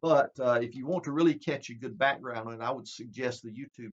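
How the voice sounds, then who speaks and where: A man is talking. He has a Southern US accent. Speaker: preacher. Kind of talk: bible prophecy teaching. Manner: conversational.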